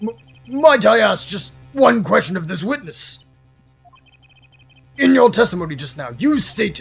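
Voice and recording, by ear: Using a put-on character voice, a man speaks at a high pitch with very wide pitch swings, a moderate pace and long, frequent pauses.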